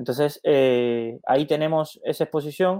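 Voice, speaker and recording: This voice belongs to a man. Its pitch variation is ordinary. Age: 20s. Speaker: finance podcast host. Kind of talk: live Q&A stream. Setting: live stream. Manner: halting, many fillers and repetitions.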